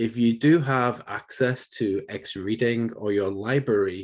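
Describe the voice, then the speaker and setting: Here a man with a northern English accent talks at a medium pitch with ordinary pitch variation. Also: quiet background. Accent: British, north of England. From northern England, Bolton near Manchester. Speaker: university professor. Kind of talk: lecture.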